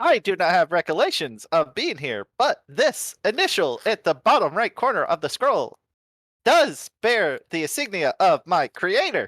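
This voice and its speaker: Someone uses a put-on character voice with a fairly high pitch at a moderate pace. The recording is very clean, with a silent background. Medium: actual play. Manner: formal, clipped, literal.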